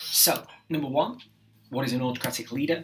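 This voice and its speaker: Noticeable background noise fills the recording. The man speaks very fast. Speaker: teacher. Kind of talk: tutorial. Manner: casual.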